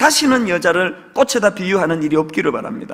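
The tone is bright and sharp, with very wide pitch swings. The pace is fairly quick against a quiet background. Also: man. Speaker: pastor. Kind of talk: sermon. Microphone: podium.

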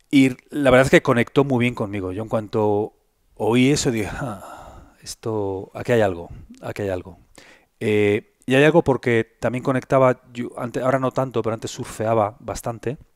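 A man at a moderate pace, ordinary pitch variation, against a quiet background. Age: 50s. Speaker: health content creator. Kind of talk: interview conversation. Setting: in person at host's home. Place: home room. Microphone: headset.

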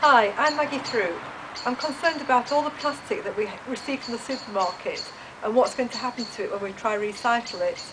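A woman's high-pitched voice at a fairly quick pace, with ordinary pitch variation and noticeable background noise. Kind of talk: campaign appeal to camera. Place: street. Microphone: camera far.

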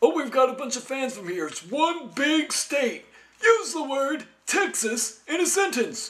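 This cartoonish character voice has a high pitch and moves at a moderate pace. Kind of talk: comedy sketch. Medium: puppet.

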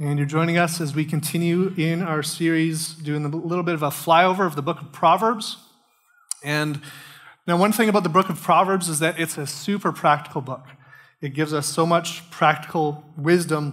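A man talks with fairly even intonation. The background is quiet. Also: moderate pace. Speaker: pastor. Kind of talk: sermon. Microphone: headset.

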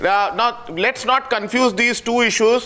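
A man with an Indian accent speaks in a raised, projected voice. His pitch is high, and his pace is fairly slow. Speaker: association representative, debate panelist. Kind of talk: heated debate. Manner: measured, hesitant. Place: studio.

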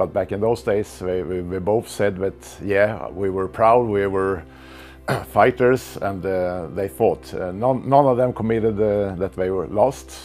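Over music in the background, a man speaks at a fairly slow pace and a fairly low pitch, with ordinary pitch variation. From Sweden. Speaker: martial arts grandmaster. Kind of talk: interview answer, reminiscing. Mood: warm, reminiscing. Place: home room. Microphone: lapel.

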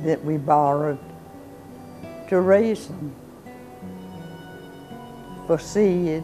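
Against clear music in the background, a woman with a fairly low pitch and ordinary pitch variation speaks at a very slow pace. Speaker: interviewee. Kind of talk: interview answer. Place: home room.

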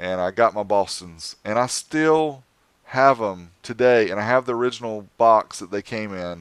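With an American accent, a man speaks at a moderate pace and a fairly low pitch, with ordinary pitch variation, in a dry sound with no echo over a quiet background. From US South, North Carolina. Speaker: car audio YouTuber; podcast guest. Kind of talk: casual chat. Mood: nostalgic, animated. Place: home room. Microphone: headset.

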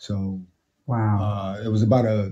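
In a dark, mellow tone, a man at medium pitch talks with an American accent. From Brooklyn, New York. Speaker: military veteran and cancer survivor. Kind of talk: casual interview.

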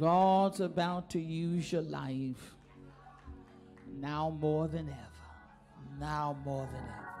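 A woman's very deep, low voice at a very slow pace, with fairly even intonation, long, frequent pauses and clear music in the background. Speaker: preacher. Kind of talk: sermon delivered to a congregation. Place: church. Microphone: handheld.

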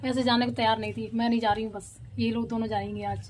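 Music plays in the background as the woman speaks at a moderate speed. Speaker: vlogger, mother. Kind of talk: casual home vlog.

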